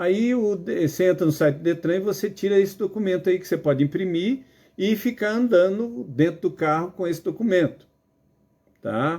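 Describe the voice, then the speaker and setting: A man's high-pitched voice, dark and mellow in tone, at a moderate pace with ordinary pitch variation. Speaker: driving instructor. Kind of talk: lecture. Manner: casual, filler-heavy.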